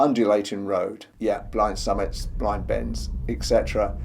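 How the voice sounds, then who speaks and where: A man with an English accent speaks fairly slowly, with audible room echo and noticeable background noise. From England. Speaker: travel vlogger. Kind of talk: travel guide narration. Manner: casual, chatty.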